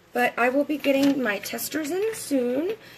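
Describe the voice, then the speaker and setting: A woman speaks very slowly in an American accent with lively intonation over noticeable background noise. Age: 40s. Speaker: makeup and beauty product seller. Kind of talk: live-stream makeup tutorial. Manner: casual, chatty.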